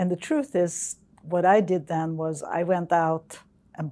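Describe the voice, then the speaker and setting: A woman speaks in a Swedish accent. Her intonation is monotone and flat. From Sweden. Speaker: geophysicist. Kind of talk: interview. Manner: hesitant.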